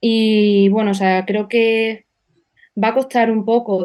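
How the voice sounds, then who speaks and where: Very slow, monotone, flat delivery from a woman at a medium pitch. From Extremadura, Spain. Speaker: political activist. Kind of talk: interview.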